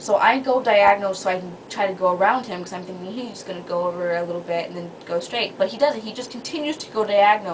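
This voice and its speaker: Over noticeable background noise, a woman talks at a very fast pace with hardly any pauses. Her loudness swings widely. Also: medium pitch for a woman, ordinary pitch variation. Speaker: vlogger. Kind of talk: casual vlog monologue. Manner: animated.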